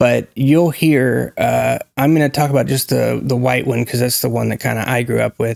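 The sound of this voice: With an American accent and some vocal fry, a man speaks at a medium pitch and moderate pace in a slightly mellow tone, with little pitch movement.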